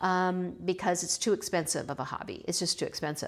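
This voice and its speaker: A woman speaks with an American accent at medium pitch and a moderate pace, her intonation fairly even. The recording is very clean, with a silent background. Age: 60s. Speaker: potter and YouTuber. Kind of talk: casual vlog talk. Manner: halting, with many fillers.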